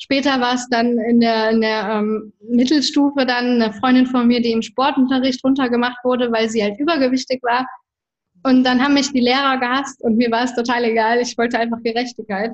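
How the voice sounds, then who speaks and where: This woman has a high pitch and talks at a fairly quick pace. Her intonation is monotone and flat, and her loudness stays very even. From Germany. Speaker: entrepreneur and women's coach. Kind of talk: interview.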